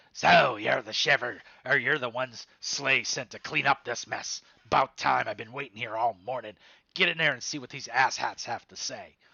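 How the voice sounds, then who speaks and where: A man uses a raspy put-on character voice at a medium pitch, with fairly even intonation. He moves at a moderate pace, with big swings in loudness. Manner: impatient, curt.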